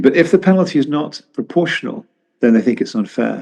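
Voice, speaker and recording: A man with a southern British accent speaks in a dark, mellow tone with lively intonation. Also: quiet background. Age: 70s. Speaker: economist and journalist. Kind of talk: interview. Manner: halting, with many repetitions.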